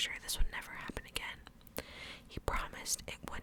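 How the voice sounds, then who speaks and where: A woman whispering at a fairly quick pace over noticeable background noise. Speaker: ASMR creator. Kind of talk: first-person horror story narration. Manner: whispered, soft.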